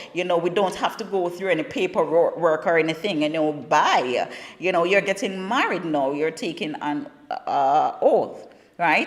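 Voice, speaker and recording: A woman with a Jamaican accent speaks at a moderate pace, fairly low in pitch, with ordinary pitch variation. There is noticeable background noise. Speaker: talk show host. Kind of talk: casual talk show monologue. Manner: conversational, repetitive stammering.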